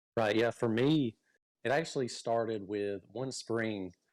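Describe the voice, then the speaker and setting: A man at medium pitch with a Southern US accent, a moderate pace, and a very clean recording over a silent background. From US state of Georgia. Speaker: fishing YouTuber. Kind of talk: casual interview. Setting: live stream.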